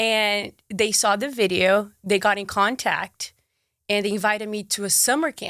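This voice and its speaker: A woman speaks in a Brazilian accent with a bright, sharp tone, medium pitch and moderate pace. The recording is very clean, with a silent background. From Brazil, Marília and Manaus. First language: Portuguese. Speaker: sports presenter and content creator. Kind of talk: casual interview chat. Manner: animated.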